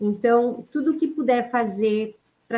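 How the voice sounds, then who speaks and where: A woman uses a plain, everyday voice at a fairly slow pace with ordinary pitch variation. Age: 50s. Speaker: ultramarathon runner, cancer survivor. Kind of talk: testimony. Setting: online live stream.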